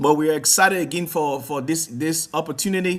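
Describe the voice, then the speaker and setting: The speech carries a Liberian accent. It moves at a moderate pace. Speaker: talk show host, founder of advocacy organization. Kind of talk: online talk show introduction. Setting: live online telecast. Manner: halting, many repetitions and fillers.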